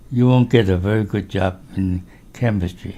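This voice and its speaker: Somewhat breathy and dark, mellow in tone, a man speaks with ordinary pitch variation. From China. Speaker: chemist. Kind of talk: life story interview.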